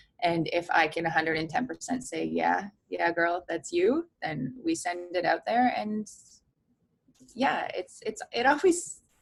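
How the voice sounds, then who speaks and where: A woman talks rather slowly while music plays in the background. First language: Polish. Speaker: in-game sports host and content creator. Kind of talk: interview.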